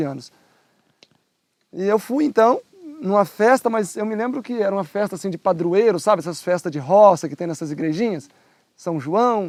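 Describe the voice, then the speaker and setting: At a moderate pace, a man with a high pitch speaks with lively intonation, the sound dry and close with no echo. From rural Brazil. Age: 50s. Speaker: churchgoer giving testimony. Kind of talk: testimony. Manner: casual.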